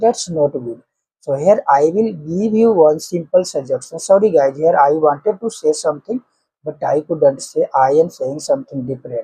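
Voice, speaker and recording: The speaker has an Indian accent and talks at a moderate pace. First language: Hindi. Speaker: English-speaking coach, YouTuber. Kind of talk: motivational talk to camera, unscripted.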